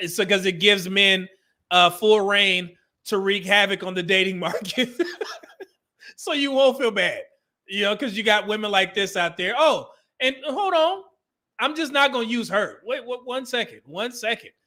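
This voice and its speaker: Speaking at a moderate pace with long, frequent pauses, a man with an American accent uses a raised, projected voice that is high-pitched and bright and sharp in tone, with ordinary pitch variation, on a very clean recording with a silent background. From California. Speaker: livestream commentator on relationships. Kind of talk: casual livestream talk reading super chats.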